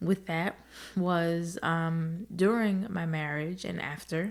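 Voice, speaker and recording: Speaking very slowly, a woman with an American accent uses a fairly low pitch. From New Jersey, US. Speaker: podcast host. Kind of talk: personal storytelling monologue. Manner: loud; occasional stutter.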